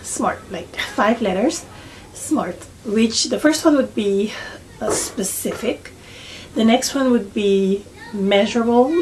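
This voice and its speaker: With a non-native accent, a woman with a fairly high pitch and ordinary pitch variation speaks at a very slow pace with long, frequent pauses over noticeable background noise. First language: not English. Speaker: beauty vlogger. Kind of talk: tutorial. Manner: halting, many fillers.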